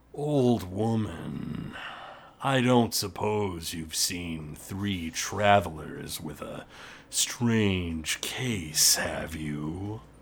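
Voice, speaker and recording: A man puts on a gruff character voice, speaking at a very slow pace with a very deep, low pitch. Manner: loud, calling through the door.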